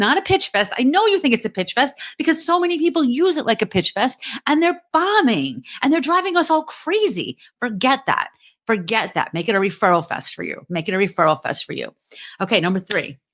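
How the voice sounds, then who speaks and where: A woman with a New Jersey accent talks at a fairly quick pace in a high pitch with very wide pitch swings, in a very clean recording with a silent background. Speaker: podcast host; LinkedIn marketing coach. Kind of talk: podcast talk, motivational business advice. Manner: energetic, direct, casual.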